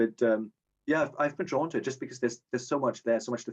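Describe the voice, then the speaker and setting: With a German accent, a man talks at a medium pitch with ordinary pitch variation. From Germany. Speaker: short story writer, contest winner. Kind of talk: casual interview. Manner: halting, many repetitions. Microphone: connection issues.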